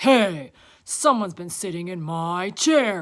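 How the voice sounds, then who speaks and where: In a very clean recording with a silent background, someone performs a put-on character voice at a middle pitch. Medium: read story.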